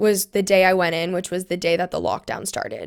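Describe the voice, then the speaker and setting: This woman has an unremarkable speaking voice with fairly even intonation, in an American accent. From US West Coast (California). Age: 20s. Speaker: podcast guest sharing personal story. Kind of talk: testimony. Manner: casual, frequent fillers.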